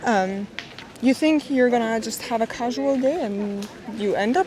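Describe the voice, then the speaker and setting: A woman's fairly high voice with a non-native accent, over noticeable background noise. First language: not English. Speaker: travel vlogger. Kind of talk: travel vlog narration. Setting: outdoors.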